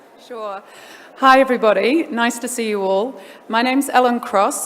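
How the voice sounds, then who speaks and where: Noticeable background noise sits under a woman who talks at a moderate pace, her pitch varying in an ordinary way. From New Zealand. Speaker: lawyer. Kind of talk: panel discussion. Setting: stage with audience.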